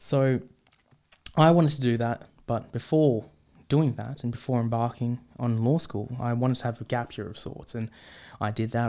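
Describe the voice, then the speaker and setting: A man with an Australian accent speaks in a dark, mellow tone at a medium pitch and moderate pace, with ordinary pitch variation. The recording is very clean with a silent background. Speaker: podcast host. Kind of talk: podcast monologue. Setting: studio with microphone and camera. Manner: halting, many fillers.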